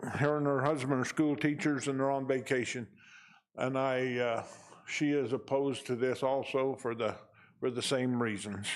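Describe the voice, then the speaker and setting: The speaker talks at a moderate pace in an American accent, with a monotone, flat intonation and very even loudness. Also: man, medium pitch for a man. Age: 70s. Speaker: local resident speaking at public hearing. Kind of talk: public comment at county meeting.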